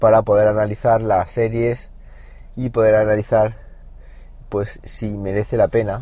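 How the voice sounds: A man speaks at a fairly slow pace. His pitch sits fairly low, with a dark, mellow tone.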